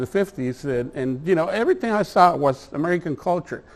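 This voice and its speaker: A man speaks with a Mexican accent. His intonation is lively and his pace fairly quick. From Mexico, Tijuana. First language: Spanish. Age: 60s. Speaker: attorney. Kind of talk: presentation to a community meeting. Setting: meeting hall with audience. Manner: halting, many fillers.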